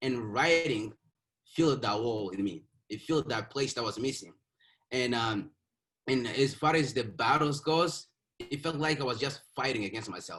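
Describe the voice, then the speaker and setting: The speaker moves at a moderate pace with ordinary pitch variation, broken up by long, frequent pauses. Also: man, medium pitch for a man. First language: not English (English is fifth language). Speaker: author. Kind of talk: interview. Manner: halting, with repeated words.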